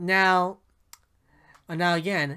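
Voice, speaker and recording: The tone is bright and sharp, in a very clean recording with a silent background. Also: man. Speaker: gaming YouTuber. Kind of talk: video game commentary. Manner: halting, many fillers.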